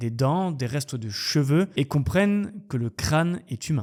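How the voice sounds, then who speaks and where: The speaker has a plain, everyday voice. The pace is fairly slow and the intonation lively. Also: man. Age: 30s. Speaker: YouTube true crime storyteller. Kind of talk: storytelling narration. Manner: casual, lively.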